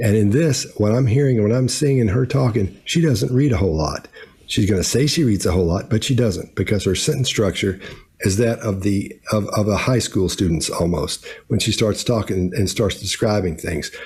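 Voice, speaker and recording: Somewhat breathy and fairly low-pitched, a man speaks with lively intonation and very even loudness. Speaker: body language analyst. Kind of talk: video commentary analysis. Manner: fast; halting, repeats words.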